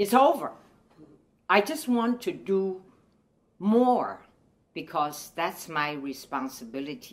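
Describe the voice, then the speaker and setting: Speaking very slowly with a Chinese accent, a woman at medium pitch makes very wide pitch swings. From China. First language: Mandarin Chinese. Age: 80s. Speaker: retired professor and women's rights activist. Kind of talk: testimony. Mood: earnest, calm conviction. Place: home room.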